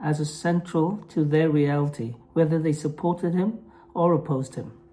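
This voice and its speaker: Speaking at a moderate pace, a woman with a non-native accent uses a fairly low pitch. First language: Norwegian. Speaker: mental health vlogger. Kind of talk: vlog monologue; reading aloud. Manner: halting, with pauses; apologetic.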